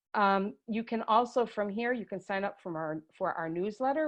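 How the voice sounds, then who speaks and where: A woman with an unremarkable speaking voice holds a medium pitch and keeps a moderate pace. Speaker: education staff presenting a webinar. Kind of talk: tutorial. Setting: video call webinar.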